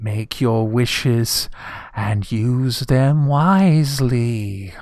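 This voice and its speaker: Using a put-on character voice, a man talks at a very slow pace in a medium pitch. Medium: actual play. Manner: solemn, formal.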